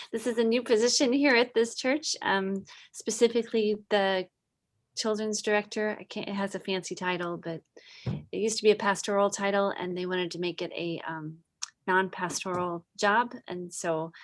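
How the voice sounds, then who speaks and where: A woman with a strong Wisconsin accent, on a very clean recording against a silent background. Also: medium pitch for a woman, ordinary pitch variation, moderate pace. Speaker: church children's director. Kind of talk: casual group introductions.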